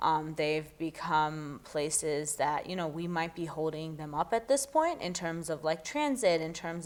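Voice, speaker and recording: The clip features a normal speaking voice. The pace is moderate. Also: woman. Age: young. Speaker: former mayoral candidate. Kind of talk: interview answer.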